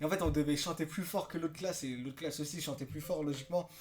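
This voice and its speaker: A man speaks with ordinary pitch variation. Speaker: YouTuber, former army recruit. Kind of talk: casual vlog storytelling. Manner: fast, many hesitations.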